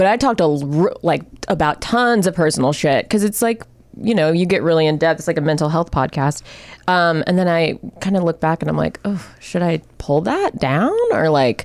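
With very even loudness, a woman speaks at a moderate pace in an ordinary speaking voice, her fairly low pitch showing ordinary pitch variation. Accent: American. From Florida. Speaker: comedian, actor. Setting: studio.

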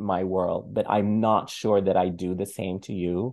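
A man speaking at a fairly slow pace over a quiet background. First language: other than English. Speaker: film critic podcast co-host. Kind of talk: casual chat.

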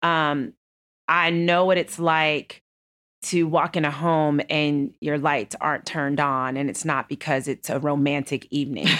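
The recording is very clean, with a silent background. A woman with an American accent speaks in a very deep, low pitch with fairly even intonation. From Texas. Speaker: banking executive. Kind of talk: interview. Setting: office.

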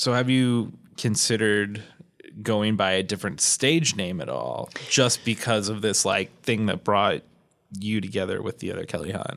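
At a moderate pace, a man talks with ordinary pitch variation in an unremarkable speaking voice. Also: fairly low pitch for a man. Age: 30s. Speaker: podcast host. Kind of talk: interview.

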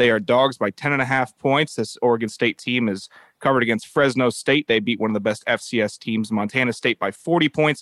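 A man with ordinary pitch variation and an ordinary speaking voice. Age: 20s. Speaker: podcast producer. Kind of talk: casual chat.

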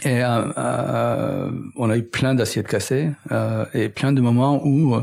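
With vocal fry, a man speaks with ordinary pitch variation. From Middle East. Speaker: entrepreneur and engineer. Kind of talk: interview conversation. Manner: hesitant, many fillers.

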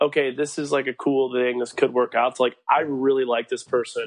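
A man speaks in an ordinary speaking voice, fairly high in pitch with ordinary pitch variation. The background is quiet. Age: 20s. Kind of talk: casual chat.

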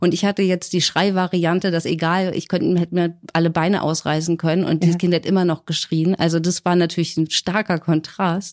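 This woman's fairly low voice runs at a fairly quick pace with hardly any pauses, very even loudness and a monotone, flat intonation. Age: 30s. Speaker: single mother in shared house. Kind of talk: casual interview.

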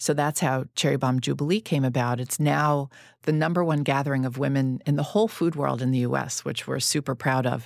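A woman with a New York accent speaks at a very deep, low pitch. She moves at a fairly quick pace with ordinary pitch variation. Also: hardly any pauses. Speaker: magazine founder and podcast host. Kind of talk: casual interview chat.

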